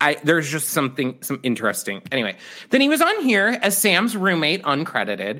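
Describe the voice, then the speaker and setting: Vocal fry runs through a man's fairly high voice as his pitch swings very widely. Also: fairly quick pace. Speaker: podcast host. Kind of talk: casual chat.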